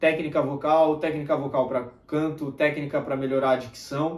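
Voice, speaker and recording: A man speaks at a fairly high pitch. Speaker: self-improvement youtuber and mentor. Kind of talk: motivational talk to camera. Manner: tends to speak softly.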